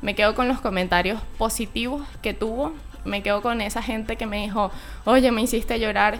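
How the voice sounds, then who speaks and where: Music plays in the background as a woman speaks at a fairly high pitch with fairly even intonation. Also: moderate pace. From Venezuela, Maturín (eastern). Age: 20s. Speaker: YouTuber and student. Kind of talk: radio interview.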